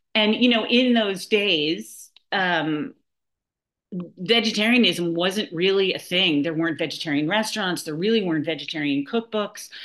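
A woman with an American accent uses an ordinary speaking voice at medium pitch, talking at a moderate pace with lively intonation. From New York City, Manhattan. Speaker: nonprofit founder, cookbook author. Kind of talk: interview.

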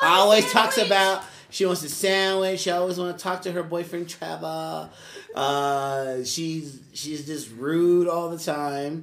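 A man with a high voice and ordinary pitch variation, at a fairly slow pace amid noticeable background noise. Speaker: podcast host and youth mentor. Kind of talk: casual group conversation podcast with teens. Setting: around a table at an after-school program. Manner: playful, teasing, conversational.

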